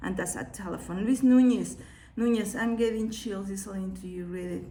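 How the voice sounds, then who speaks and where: A woman speaks in a Mexican accent. Room echo is audible. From Mexico. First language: Spanish. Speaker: children's book author and illustrator. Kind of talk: live-streamed book read aloud with comments. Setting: live video stream from her studio.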